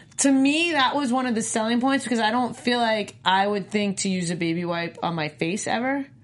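A woman with an American accent talks at a fairly quick pace with hardly any pauses. Her fairly high voice has lively intonation over noticeable background noise. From New York. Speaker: aftershow host. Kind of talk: casual panel banter.

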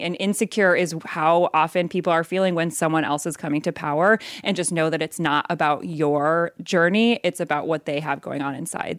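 In a normal speaking voice, a woman talks at a fairly quick pace with fairly low pitch and ordinary pitch variation, the sound dry and close with no echo on a very clean recording with a silent background. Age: 30s. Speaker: women's empowerment coach and content creator. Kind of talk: panel discussion. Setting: stage with live audience.

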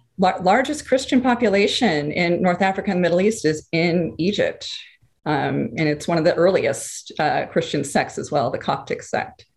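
A somewhat breathy woman at medium pitch, moderate in pace, with very wide pitch swings. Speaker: screenwriter and producer. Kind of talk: interview conversation.

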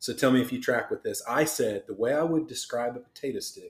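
A man talks with an Ohio accent. His pace is very fast. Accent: Midwestern American (Ohio). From southern Ohio. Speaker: pastor. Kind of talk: casual chat.

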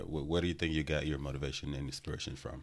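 This man has a very deep, low pitch with vocal fry. His intonation stays fairly even. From Nigeria. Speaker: podcast host. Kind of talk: interview. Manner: direct.

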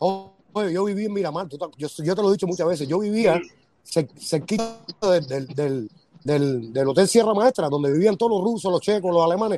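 With a Cuban accent and lively intonation, a man speaks at a moderate pace in a high voice with a dark, mellow tone. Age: 50s.

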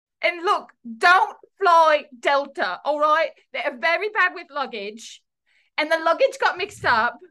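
Extremely high and bright, with a sharp tone, a woman's put-on character voice moves with lively intonation. Her pace is fairly slow.

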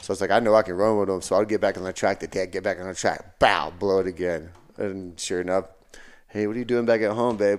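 In a Texan accent, a man talks at a very fast pace in a fairly low voice with fairly even intonation, on a very clean recording with a silent background. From West Texas. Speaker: Paralympic sprinter. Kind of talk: casual chat.

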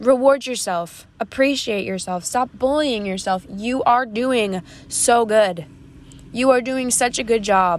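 In an ordinary speaking voice, a woman talks at a fairly slow pace, fairly high in pitch with ordinary pitch variation. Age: 20s. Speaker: podcast host; college student. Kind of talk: casual monologue. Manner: casual, filler-heavy.

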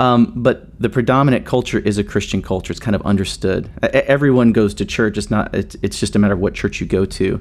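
A very fast American accent from a man, with vocal fry and hardly any pauses. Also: fairly low pitch for a man, ordinary pitch variation. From US South, Nashville, Tennessee. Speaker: worship leader and songwriter. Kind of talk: interview conversation. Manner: halting.

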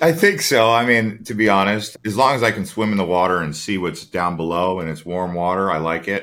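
A man with a plain, everyday voice and an American accent speaks at a fairly quick pace, his pitch fairly low with ordinary variation. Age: 40s. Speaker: travel video creator. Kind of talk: casual interview chat.

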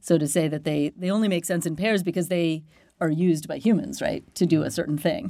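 This woman has a fairly low pitch, a dark, mellow tone and vocal fry, speaking at a fairly quick pace with ordinary pitch variation. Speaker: podcast host and academic. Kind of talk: academic conversation.

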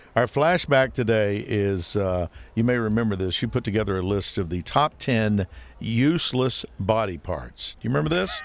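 With lively intonation and a fairly low pitch, a man talks at a moderate pace in a normal speaking voice. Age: 40s. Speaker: podcast co-host. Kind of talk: casual chat.

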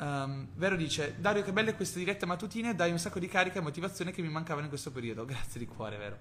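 Against noticeable background noise, a man with a high pitch rattles on at a very fast pace with lively intonation and hardly any pauses. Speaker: podcast host, marketing entrepreneur. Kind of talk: casual solo podcast with Q&A. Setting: recording from Bali, Indonesia. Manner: conversational, enthusiastic.

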